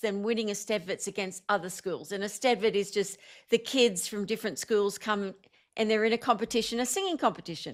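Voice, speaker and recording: A woman with an Australian accent speaks in a fairly high pitch with fairly even intonation. The recording is very clean, with a silent background. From Australia, Blue Mountains and Sydney. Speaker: singer-songwriter and motivational speaker. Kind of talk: interview.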